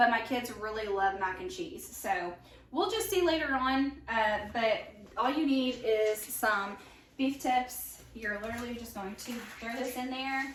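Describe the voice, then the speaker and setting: A woman's high-pitched voice with lively intonation, audible room echo and noticeable background noise. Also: fairly slow pace. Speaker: home cook sharing recipes. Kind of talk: casual cooking tutorial. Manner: casual, many fillers.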